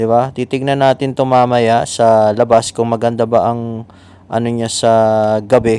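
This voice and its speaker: A man with a dark, mellow tone and medium pitch speaks fairly slowly in a monotone, flat intonation. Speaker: vlogger. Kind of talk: casual vlog. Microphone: clip-on microphone on new camera.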